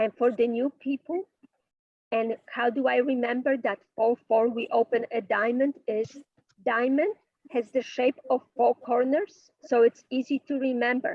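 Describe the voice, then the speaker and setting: The woman's pitch sits high. She speaks at a fairly slow pace. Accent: strong non-native. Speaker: bridge teacher. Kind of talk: online class lecture.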